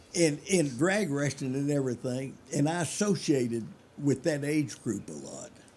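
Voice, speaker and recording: A man with a Memphis accent talks at a moderate pace in a fairly high voice with ordinary pitch variation. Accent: Southern US (Memphis). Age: 80s+. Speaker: hot rodder. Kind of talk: casual chat.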